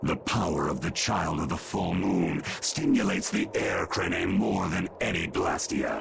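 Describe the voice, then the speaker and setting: A man's cartoonish character voice with hardly any pauses, over clear background noise. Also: moderate pace. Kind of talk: archaic, lofty speech. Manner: imperious, menacing.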